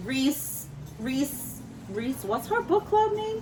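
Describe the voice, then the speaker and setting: With a New York accent, a woman talks at a fairly slow pace and a high pitch over noticeable background noise. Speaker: book YouTuber. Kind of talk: casual vlog talk. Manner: animated.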